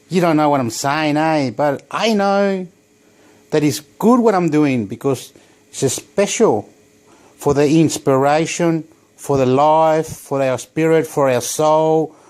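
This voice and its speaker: A man speaks with a Spanish accent. His pace is fairly slow, with ordinary pitch variation. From Chile. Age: 40s. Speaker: vlogger. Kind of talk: casual monologue vlog. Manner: rambling, animated.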